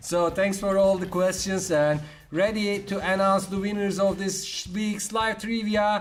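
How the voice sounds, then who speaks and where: A man with a non-native accent talks at a fairly slow pace in a high pitch with monotone, flat intonation. Music plays in the background amid audible room echo. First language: not English. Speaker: kids' live show co-host. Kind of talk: live quiz show chat.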